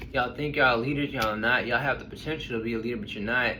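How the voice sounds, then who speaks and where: Over noticeable background noise and audible room echo, a man at a medium pitch talks at a very fast pace. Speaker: tarot reader. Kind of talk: tarot reading to camera. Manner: casual, blunt.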